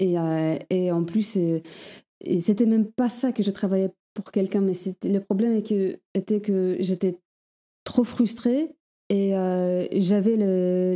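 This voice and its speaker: Against a very clean recording with a silent background, a voice with a Polish accent and a dark, mellow tone moves at a very slow pace with fairly even intonation. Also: woman. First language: Polish (speaking French). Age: 30s. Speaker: sworn translator. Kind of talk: interview. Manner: halting, many hesitations.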